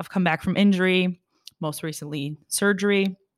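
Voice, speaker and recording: In an ordinary speaking voice with lively intonation and a moderate pace, the recording is very clean with a silent background and a dry, close sound with no echo. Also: woman. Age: 20s. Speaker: fitness podcast co-host and personal trainer. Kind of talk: casual chat.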